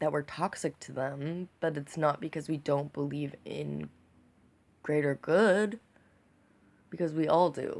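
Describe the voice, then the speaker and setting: In an American accent, a woman speaks at a fairly slow pace with long, frequent pauses. Her very deep, low pitch shows vocal fry and ordinary pitch variation. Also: very clean recording, silent background. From United States. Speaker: vlogger. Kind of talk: casual video monologue. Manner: halting, hesitant; enunciating carefully.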